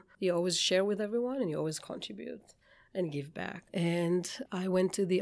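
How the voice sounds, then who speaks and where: A woman with an Israeli accent speaks at a fairly low pitch with ordinary pitch variation. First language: Hebrew. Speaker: bakery founder. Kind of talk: interview. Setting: studio.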